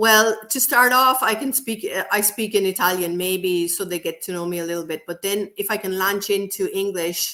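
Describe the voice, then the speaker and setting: A woman's medium-pitched voice in an Irish accent, bright and sharp in tone, with ordinary pitch variation and hardly any pauses. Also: moderate pace. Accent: Irish lilt. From Ireland. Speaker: co-author and English teacher. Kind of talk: casual interview chat.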